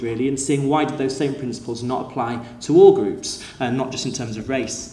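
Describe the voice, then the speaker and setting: Noticeable background noise and audible room echo surround this man's voice. He speaks at a fairly high pitch with fairly even intonation. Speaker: school teacher. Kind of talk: conference talk. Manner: fast; hesitant, many fillers.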